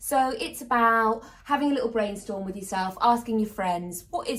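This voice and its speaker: Speaking at a fairly quick pace, a woman with a British accent uses ordinary pitch variation. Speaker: voice-over artist. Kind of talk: casual chat.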